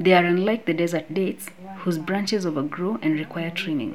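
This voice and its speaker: The speech comes at a moderate pace. Noticeable background noise runs underneath. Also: woman. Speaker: smallholder farmer. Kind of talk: interview testimony.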